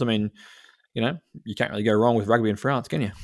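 With a New Zealand accent and fairly even intonation, a man speaks at a fairly low pitch in a very clean recording with a silent background. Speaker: rugby podcast co-host. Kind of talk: casual chat.

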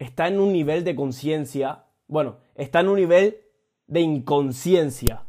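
Ordinary in pitch variation, this man's voice sits fairly high. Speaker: motivational podcaster. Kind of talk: motivational monologue. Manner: casual, frequent swearing.

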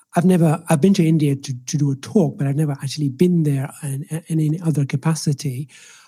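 A man talks with a somewhat breathy voice, pitched fairly high, and his intonation stays fairly even. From Ireland. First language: Swahili. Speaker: doctor and medical professor. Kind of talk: casual interview. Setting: remote call.

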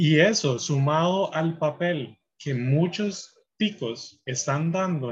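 With lively intonation, a man speaks in a somewhat breathy voice at a fairly high pitch. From Costa Rica, Puntarenas. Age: 20s. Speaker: computer engineer. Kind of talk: interview. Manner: halting.

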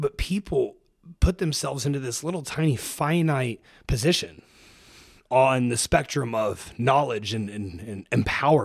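A man with an American accent and an unremarkable speaking voice talks at a medium pitch and a moderate pace, his intonation lively. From Ohio, US Midwest. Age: 20s. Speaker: fitness coach and entrepreneur. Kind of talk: casual interview. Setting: studio, in person.

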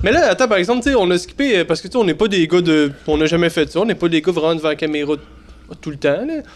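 A man's high voice at a very fast pace, with lively intonation. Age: 30s. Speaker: TikTok creator, podcast co-host. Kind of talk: casual chat. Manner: halting.

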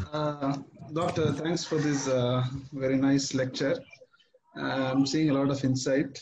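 A man speaks in a fairly high pitch with monotone, flat intonation and very even loudness. His pace is fairly slow, broken by long, frequent pauses. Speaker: caller. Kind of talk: question and answer.

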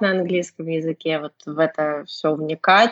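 A woman talks at a moderate pace. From Russia, Saint Petersburg. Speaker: English teacher and blogger. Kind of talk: casual chat.

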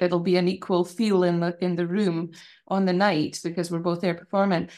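A woman in a Shetland accent, medium-pitched, at a fairly quick pace. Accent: Shetland Scottish. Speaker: fiddle player and music lecturer. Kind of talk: casual interview. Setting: video call.

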